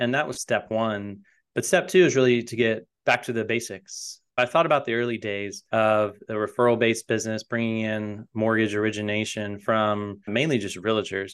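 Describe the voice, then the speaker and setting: In an American accent and a normal speaking voice, a man of medium pitch talks at a moderate pace with ordinary pitch variation against a quiet background. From US South, North Carolina (Raleigh). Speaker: mortgage loan officer and company founder. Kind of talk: interview.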